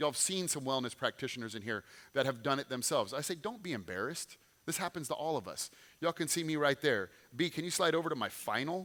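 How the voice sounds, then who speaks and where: Talking at a very fast pace, a man with an American accent has a bright, sharp tone and vocal fry. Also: fairly high pitch for a man, lively intonation. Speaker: former pro football player, clinic owner. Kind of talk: motivational talk to audience. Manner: animated.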